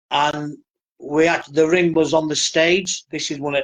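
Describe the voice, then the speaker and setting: Speaking at a moderate pace in a flat monotone, a man with a northern English accent has a fairly high pitch. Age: 60s. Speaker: professional wrestler. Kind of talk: interview, casual storytelling.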